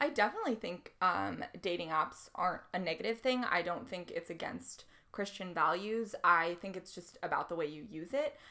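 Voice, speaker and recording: This woman has a medium pitch and a bright, sharp tone. She speaks at a moderate pace with lively intonation. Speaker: podcast co-host. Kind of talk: casual chat.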